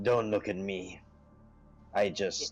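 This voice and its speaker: A man puts on a character voice with fairly low pitch. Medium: actual play.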